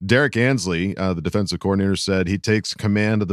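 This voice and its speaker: Very clean recording, with a silent background. A man with a plain, everyday voice speaks at a fairly low pitch and a fairly quick pace. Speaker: podcast co-host. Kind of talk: casual chat.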